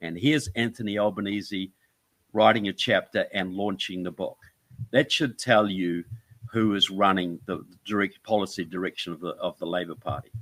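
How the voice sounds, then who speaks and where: This man has a New Zealand accent and a fairly low pitch, talking at a moderate pace with ordinary pitch variation. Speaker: author and filmmaker. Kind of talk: interview.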